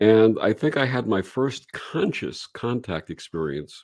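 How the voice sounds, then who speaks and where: Fairly low in pitch and marked by vocal fry, a man speaks with lively intonation on a very clean recording with a silent background. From Brooklyn, New York. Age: 60s. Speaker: reverend and radio show host. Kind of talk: interview storytelling.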